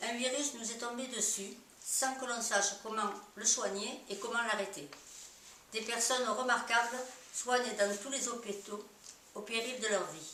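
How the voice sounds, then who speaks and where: A woman speaks at a fairly slow pace with long, frequent pauses, her fairly high pitch and fairly even intonation carried over noticeable background noise and audible room echo. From Marseille, southern France. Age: 70s. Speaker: retired citizen sharing hospital experiences. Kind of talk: personal testimony read aloud.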